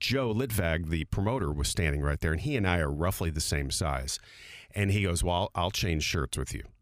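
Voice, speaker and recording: A man's very deep, low voice with vocal fry and lively intonation, moderate in pace and very even in loudness, in a very clean recording with a silent background. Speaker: radio host. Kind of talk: casual chat.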